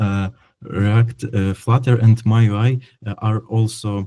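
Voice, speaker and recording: This man's voice has a dark, mellow tone and a fairly low pitch, delivered in a monotone, flat intonation with a non-native accent. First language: not English. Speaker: software developer. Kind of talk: technical presentation. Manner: halting, many fillers.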